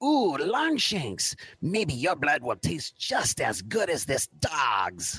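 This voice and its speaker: A man puts on a character voice. He talks at a very slow pace. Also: fairly high pitch for a man. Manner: taunting.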